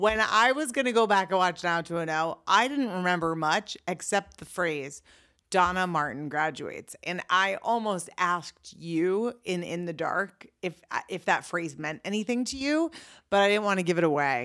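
On a very clean recording with a silent background, a woman's bright, sharp, playful voice moves at a moderate pace with a medium pitch and lively intonation. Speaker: podcast host. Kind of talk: casual comedic banter between a couple. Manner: playful, joking.

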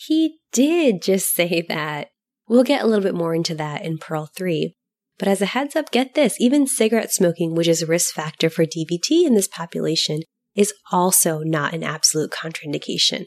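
Fairly low in pitch, a woman speaks at a moderate pace with lively intonation in a normal speaking voice. The sound is dry and close, with no echo. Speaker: medical podcast host. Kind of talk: educational medical podcast discussion.

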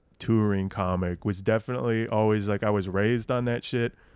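A man's fairly low voice in a Midwestern American accent, on a very clean recording with a silent background. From Nebraska, Lincoln. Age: 20s. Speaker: stand-up comedian. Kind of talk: casual chat.

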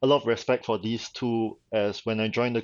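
Speaking with a Singaporean accent, a man keeps a fairly low pitch and a monotone, flat intonation. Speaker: convention organizer. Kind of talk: casual interview chat.

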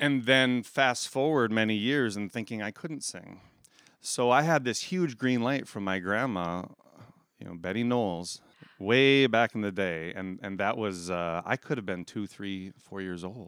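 In a normal speaking voice, someone talks fairly slowly with big swings in loudness. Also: man, fairly low pitch for a man, lively intonation. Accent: American. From South Dakota, US Midwest. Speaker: chemical engineer and community theater actor. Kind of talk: interview, personal storytelling.

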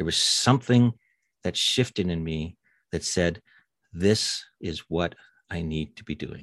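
A man with a Canadian accent speaks at a fairly slow pace in a very deep, low voice, recorded dry and close with no echo. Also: quiet background. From Canadian Prairies (Winnipeg). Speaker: retired paramedic, mental health coach. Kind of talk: casual interview.

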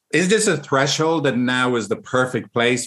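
This man has an Irish accent and a fairly high pitch, talking very slowly with lively intonation. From Ireland. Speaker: couples counselor. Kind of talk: casual interview.

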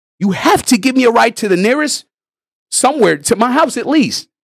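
A man speaks at a moderate pace in an extremely high pitch with lively intonation. The sound is dry and close, with no echo. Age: 30s. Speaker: podcast co-host. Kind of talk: casual chat.

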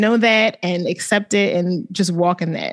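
With an unremarkable speaking voice, a woman talks at a moderate pace against a quiet background. Her medium pitch shows ordinary variation. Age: 30s. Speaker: podcast co-host. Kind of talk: casual chat.

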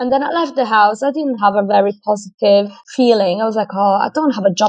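A woman with an Italian accent talks at a fairly high pitch, with ordinary pitch variation. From Italy. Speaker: food scientist and fitness professional. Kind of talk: casual interview.

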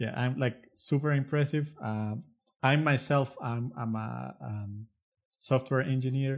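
The speaker talks with a Spanish accent. The pace is fairly slow. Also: man, medium pitch for a man, ordinary pitch variation. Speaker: podcast co-host, software engineer. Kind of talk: interview.

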